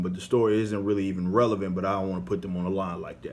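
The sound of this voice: The accent is American. The speaker is a man.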